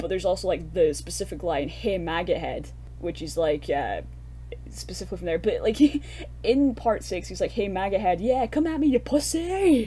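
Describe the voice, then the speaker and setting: A woman with a Scottish accent talks at a moderate pace. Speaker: horror film podcast co-host. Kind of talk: casual film review chat. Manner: animated.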